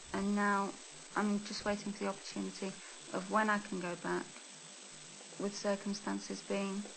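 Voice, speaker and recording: A woman at a moderate pace, with long, frequent pauses and noticeable background noise. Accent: English. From England, Spanish family. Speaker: Spanish expat interviewee. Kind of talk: interview testimony.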